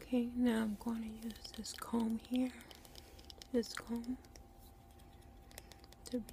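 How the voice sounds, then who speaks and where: A soft-spoken woman talks very slowly in a flat monotone, with long, frequent pauses. Light background noise sits under a dry sound with no echo. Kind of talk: role-play salon chat. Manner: soft, hushed ASMR voice. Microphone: phone near.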